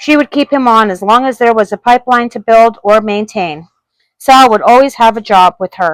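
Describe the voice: The quiet background sits under plain reading aloud that has ordinary pitch variation.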